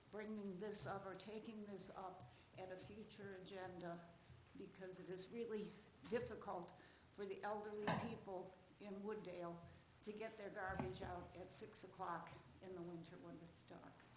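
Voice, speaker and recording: A woman at medium pitch and moderate pace, fairly even in intonation, with long, frequent pauses, noticeable background noise and audible room echo. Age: 80s+. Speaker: citizen addressing city council. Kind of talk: public comment at council meeting. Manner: formal.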